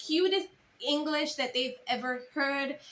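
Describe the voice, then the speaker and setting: This woman has a Caribbean accent and a high, bright, sharp tone. She talks at a fairly slow pace. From Caribbean island. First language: not English. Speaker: content creator and speaker. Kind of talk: casual vlog advice.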